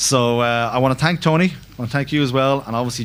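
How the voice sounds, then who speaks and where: A man with an Irish accent talks at a very fast pace with lively intonation. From Ireland. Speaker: finance network director. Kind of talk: conference talk. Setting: conference hall with audience and interpreter.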